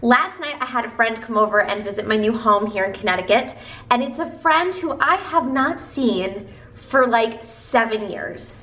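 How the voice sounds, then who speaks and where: Over noticeable background noise and audible room echo, a woman with an American accent talks at a fairly high pitch. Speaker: self-help video creator. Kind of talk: motivational talk to camera. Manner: stumbling over words.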